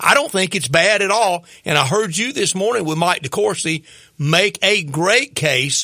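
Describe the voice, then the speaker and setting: Projecting a raised voice, a man speaks fairly slowly at a high pitch, his tone bright and sharp and his intonation lively. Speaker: sports radio co-host. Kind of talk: sports radio talk show.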